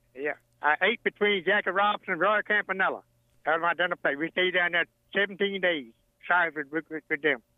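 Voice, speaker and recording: A high-pitched man with a Virginia Tidewater accent at a fairly quick pace. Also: fairly even intonation. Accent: Southern US, rural Virginia Tidewater. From Virginia, US. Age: 80s. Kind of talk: casual interview, storytelling. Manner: humorous storyteller.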